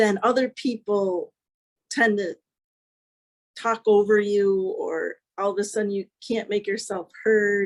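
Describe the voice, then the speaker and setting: Recorded dry and close with no echo, a woman speaks in a flat monotone at medium pitch and a fairly slow pace, with long, frequent pauses. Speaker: author. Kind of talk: interview.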